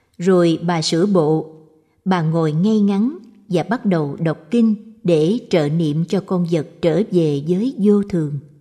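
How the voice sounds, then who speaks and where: Speaking very slowly, a woman has a fairly low pitch and a dark, mellow tone. Her pitch varies in an ordinary way. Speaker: audiobook narrator. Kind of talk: scripted narration of Buddhist short stories.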